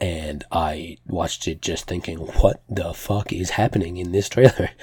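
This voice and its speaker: Breathing somewhat audibly through a breathy voice, a man with a very deep, low pitch speaks at a fairly slow pace. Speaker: podcast host. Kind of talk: casual solo news roundup.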